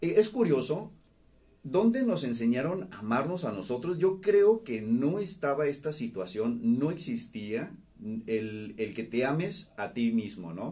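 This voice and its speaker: A man talks at a fairly high pitch and a fairly slow pace. His tone is dark and mellow, with very wide pitch swings. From Mexico, Baja California (Ensenada). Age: 40s. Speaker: psychologist. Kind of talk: live-streamed talk. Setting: live stream. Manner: halting, repeats words.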